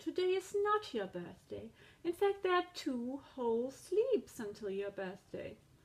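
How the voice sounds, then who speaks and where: A woman performs a put-on character voice at a high pitch. She goes at a fairly slow pace with very wide pitch swings. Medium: read story. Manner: gentle, patient.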